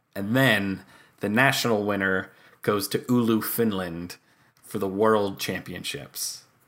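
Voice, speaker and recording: A man's ordinary speaking voice, fairly low in pitch, with fairly even intonation at a fairly slow pace, in a very clean recording with a silent background. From New York, Long Island. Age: 30s. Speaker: air guitar champion and comedic musician. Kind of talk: casual interview chat.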